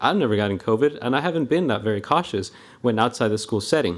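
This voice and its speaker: A man speaks with a Spanish accent. His pitch varies in an ordinary way. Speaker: school staff member, public commenter. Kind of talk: public comment at board meeting.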